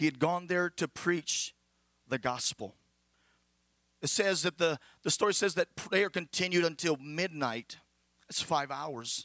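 Fairly slow with long, frequent pauses, a man speaks at a fairly high pitch in a bright, sharp tone with ordinary pitch variation, the sound dry and close with no echo. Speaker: preacher. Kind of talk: sermon. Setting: church service, also streamed online.

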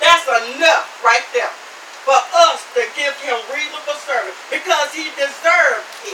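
A high-pitched woman, lively intonation, fairly slow pace, noticeable background noise. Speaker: preacher. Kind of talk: sermon, preached live to a tent congregation. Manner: fervent, rhythmic and exclamatory, with repeated 'Amen' and thinking-aloud fillers.

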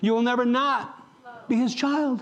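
Noticeable background noise sits behind a man's speech. His voice is extremely high, with ordinary pitch variation. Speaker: pastor. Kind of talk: sermon. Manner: animated.

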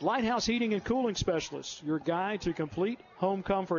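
A man's animated voice, high-pitched, with ordinary pitch variation. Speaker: radio play-by-play announcer. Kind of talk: live sports commentary. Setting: stadium broadcast. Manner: animated, fast play-by-play call.

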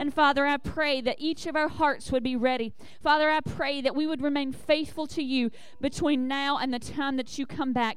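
High-pitched and monotone, a woman speaks with flat intonation at a moderate pace. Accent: Southern US. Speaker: church leader. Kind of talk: church announcements. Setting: church.

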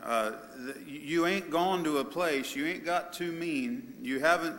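The speaker uses an ordinary speaking voice at a fairly slow pace. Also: man. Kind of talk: sermon. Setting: church.

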